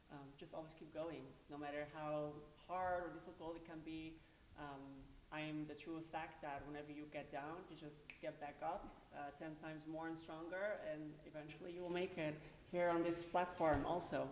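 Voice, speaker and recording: Amid audible room echo, a woman with a very deep, low pitch speaks at a moderate pace in a flat, monotone way. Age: 20s. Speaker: pageant contestant. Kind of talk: pageant interview.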